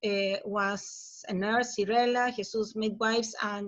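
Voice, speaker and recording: This woman has a Chilean accent and a fairly high pitch. She talks at a fairly slow pace with fairly even intonation. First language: Spanish. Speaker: professor. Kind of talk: conference presentation. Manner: halting.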